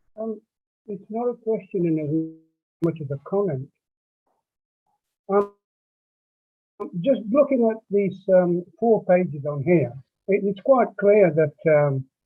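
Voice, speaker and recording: Music plays in the background as a man speaks at a very slow pace, with long, frequent pauses. His voice is high-pitched with lively intonation. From born abroad, in UK since age twelve. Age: 60s. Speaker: audience member at public meeting. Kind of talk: public comment in online meeting. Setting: video call. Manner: halting.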